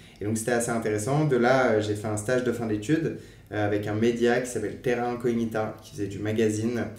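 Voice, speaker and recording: At a fairly quick pace, a man speaks with a medium pitch in a monotone, flat intonation. Audible room echo hangs around his voice. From western France, Angers. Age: 20s. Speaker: nonprofit training manager. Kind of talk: podcast interview. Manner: hesitant, many fillers.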